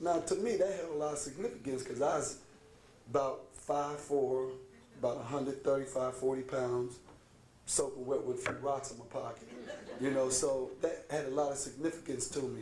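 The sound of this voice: A raspy voice with a dark, mellow tone moves at a moderate pace with fairly even intonation, and audible room echo surrounds it. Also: man, medium pitch for a man.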